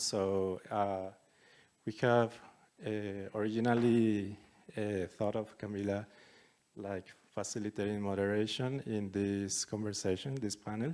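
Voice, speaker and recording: Fairly slow, monotone delivery with flat intonation and long, frequent pauses. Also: man. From Colombia, Bogotá. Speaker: festival curator. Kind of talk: event introduction and panel facilitation.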